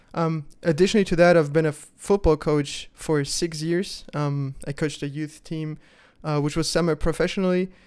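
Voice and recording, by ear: Speaking at a moderate pace with a fairly high pitch, a man has a clear, smooth, slightly mellow tone and fairly even intonation.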